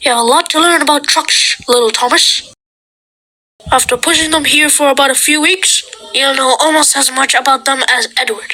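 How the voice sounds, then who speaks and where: A female-sounding put-on character voice, high in pitch, moves at a moderate pace. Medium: read story. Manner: stern, authoritative.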